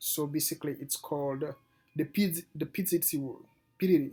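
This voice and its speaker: A man with a non-native accent at a fairly high pitch, fairly quick in pace and fairly even in intonation, with music in the background. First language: not English. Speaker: day trader and video creator. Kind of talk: casual tutorial. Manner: halting, with frequent restarts.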